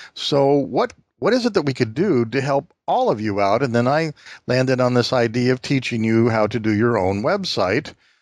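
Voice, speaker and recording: A plain, everyday voice from a man at medium pitch, moderate pace and very even loudness, with lively intonation over a quiet background. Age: 60s. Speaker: podcast host. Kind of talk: interview.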